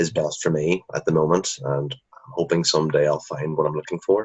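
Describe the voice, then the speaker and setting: A man speaks in a Northern Irish accent with a very deep, low pitch. His pace is moderate and his pitch variation ordinary. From Northern Ireland. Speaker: drama graduate. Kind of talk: interview.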